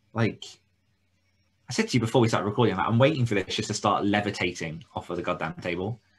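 Speaking at a very fast pace, a man with a fairly low, somewhat breathy voice uses ordinary pitch variation. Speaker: podcast co-host for authors. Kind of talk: casual chat. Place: home room.

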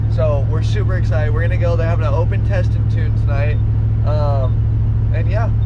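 The sound of a man's voice is dry, with no echo. Loud background noise is present. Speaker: car vlogger. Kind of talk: casual vlog chat. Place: car. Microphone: phone near.

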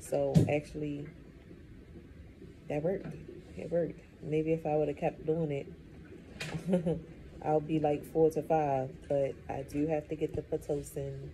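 A soft-spoken woman with a very deep, low pitch sounds weary, speaking in a monotone, flat intonation. Long, frequent pauses break her speech over light background noise. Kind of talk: casual vlog chat. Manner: weary, soft, slow talk. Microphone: phone near.

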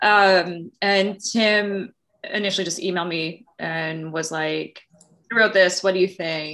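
A woman with an American accent, medium in pitch and bright, sharp in tone, at a fairly slow pace with fairly even intonation, in a quiet background. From Long Island, New York; New York. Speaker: theatre director and choreographer. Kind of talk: interview conversation. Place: home room. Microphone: video call.

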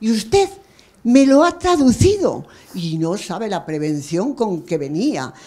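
Moving at a fairly slow pace, a woman's voice makes very wide pitch swings. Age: old. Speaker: audience member. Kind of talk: audience comment. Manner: animated. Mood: moved, emotional. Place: hall. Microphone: handheld.

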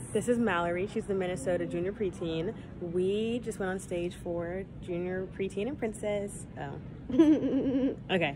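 A woman with an American accent speaks at a fairly slow pace with ordinary pitch variation. Noticeable background noise is heard behind her. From North Carolina. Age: young. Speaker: vlogger, pageant titleholder. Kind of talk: casual vlog. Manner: animated.

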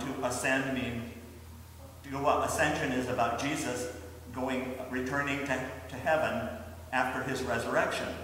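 Strong room echo surrounds a man speaking at a moderate pace over light background noise. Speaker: pastor. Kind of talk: children's sermon. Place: church. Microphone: camera far.

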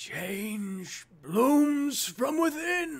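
The speaker puts on a high-pitched character voice.

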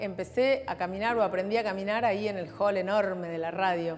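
Medium-pitched woman's voice with ordinary pitch variation over faint music in the background. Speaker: radio announcer. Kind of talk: interview answer. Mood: warm, nostalgic, grateful. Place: hall. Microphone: lapel.

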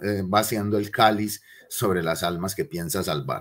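Speaking with an Antioquian accent, a man uses a fairly low pitch at a fairly slow pace. The background is quiet. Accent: Colombian paisa (Antioquia) Spanish. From Colombia, Medellín (Aranjuez); Colombia. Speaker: lecturer on city history. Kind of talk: lecture. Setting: classroom with slides. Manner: conversational, with frequent fillers. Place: home room. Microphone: webcam.

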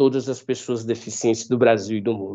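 A man speaks in an ordinary speaking voice. His pitch is medium, and his intonation is fairly even. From Northeast Brazil. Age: 40s. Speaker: blind photographer. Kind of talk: interview. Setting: video call.

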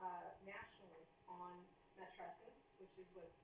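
There is audible room echo and noticeable background noise as a woman speaks in a fairly low pitch. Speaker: guest lecturer. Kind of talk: lecture. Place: classroom. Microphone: camera far.

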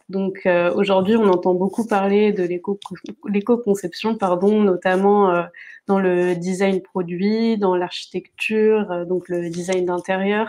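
A woman speaks very slowly in a dark, mellow tone at a medium pitch. Her intonation stays flat and monotone. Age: 20s. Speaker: graphic designer; guest. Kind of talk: interview. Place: home room. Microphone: video call.

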